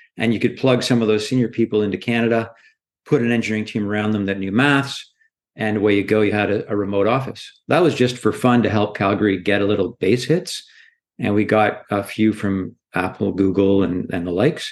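At a fairly quick pace, a man with a plain, everyday voice speaks at a fairly low pitch with ordinary pitch variation against a quiet background. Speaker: startup founder and CEO. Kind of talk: interview.

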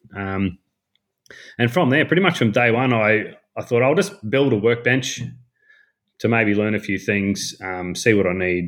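A man with a strong Australian accent and a fairly low pitch, at a moderate pace with ordinary pitch variation, on a very clean recording with a silent background. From North Queensland, Australia. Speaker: woodworking content creator. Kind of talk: casual chat.

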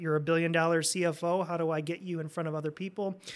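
The speaker talks at a very fast pace. The recording is very clean, with a silent background. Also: man. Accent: Midwestern American. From Indiana, Fort Wayne. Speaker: credit union CEO. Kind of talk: casual interview. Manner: hesitant, many fillers.

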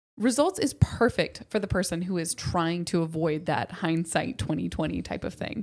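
Vocal fry at a moderate pace, with lively intonation. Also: woman, fairly low pitch for a woman. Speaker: marketing co-host. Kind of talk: promotional pitch; casual chat. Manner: youthful, animated speech.

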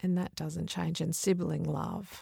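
This is a woman speaking. She talks with an Australian accent. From Mount Isa, outback Queensland, Australia. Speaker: children's author. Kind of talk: interview conversation.

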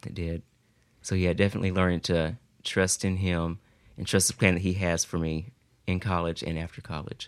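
Over a silent background in a very clean recording, a man with a Southern US accent talks fairly quickly in a very deep, low, monotone voice, leaving long, frequent pauses. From US South, South Carolina. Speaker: college student. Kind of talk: casual chat.

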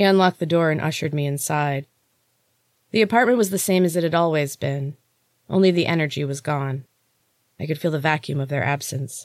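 The pace is fairly quick. Long pauses come often. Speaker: podcast host reading her own novel aloud. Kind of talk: audiobook-style reading of fiction, first-person narration with character dialogue. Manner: dramatic, expressive, shifting tone for each character, hushed and tense in suspense.

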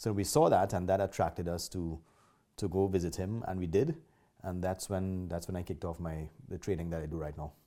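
On a very clean recording with a silent background, a man with a Trinidadian accent speaks at a fairly quick pace in a dark, mellow tone, with a very deep, low pitch and fairly even intonation. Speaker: martial arts school owner. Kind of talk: interview.

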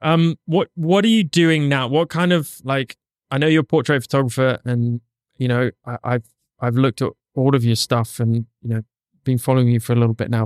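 An unremarkable speaking voice from a man at medium pitch, fairly quick in pace with ordinary pitch variation, the sound dry and close with no echo. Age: 40s. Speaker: podcast host and photographer. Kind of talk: casual interview. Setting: studio.

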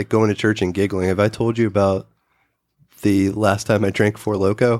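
At a moderate pace, a man with a fairly low pitch talks in an unremarkable speaking voice. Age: 40s. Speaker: podcast co-host. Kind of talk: casual chat; reading aloud.

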